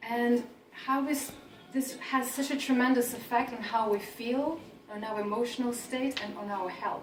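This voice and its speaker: Fairly even in intonation, the speaker talks at a moderate pace in a Russian accent, with audible room echo and noticeable background noise. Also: woman, high pitch for a woman. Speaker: career coach. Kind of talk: talk to an audience. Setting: event with audience.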